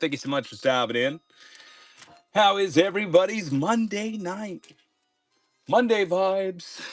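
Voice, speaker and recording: With music in the background, a man with a high pitch speaks in an upbeat, energetic tone and lively intonation at a fairly slow pace, with long, frequent pauses. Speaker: live-stream auction seller. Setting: live stream. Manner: sounds like a sports announcer.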